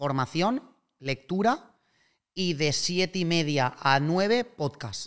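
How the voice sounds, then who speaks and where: A fairly high-pitched man with ordinary pitch variation against a quiet background. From Spain, Alicante; Spain. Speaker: real estate investor and startup co-founder; podcast guest. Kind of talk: casual interview chat. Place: home room. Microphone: studio mic.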